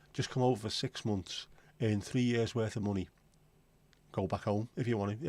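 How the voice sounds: A man with a Liverpool accent, fairly low in pitch, dark and mellow in tone, at a fairly quick pace and very even loudness, on a very clean recording with a silent background. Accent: Scouse (Liverpool).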